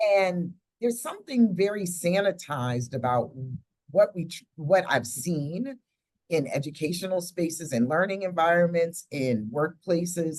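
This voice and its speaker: A woman with an American accent speaks at a fairly low pitch and a moderate pace. She has a plain, everyday voice with lively intonation. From United States. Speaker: podcast host, professor. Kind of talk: podcast conversation.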